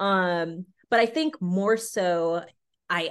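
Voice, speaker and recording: In a Californian accent, a woman with a fairly low pitch speaks at a very slow pace. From US West Coast, San Diego, California. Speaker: actress. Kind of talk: casual interview. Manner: animated.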